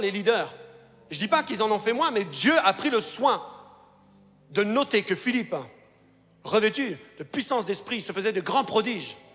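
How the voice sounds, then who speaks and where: An animated, raised and projected voice with lively intonation at a moderate pace, music in the background. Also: man. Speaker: pastor. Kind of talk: sermon.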